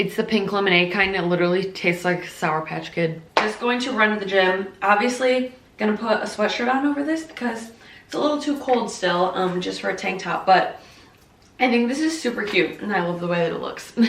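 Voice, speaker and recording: A woman at medium pitch, animated and fairly quick, with audible room echo and noticeable background noise. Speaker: lifestyle vlogger. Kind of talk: casual vlog talk to camera. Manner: fast.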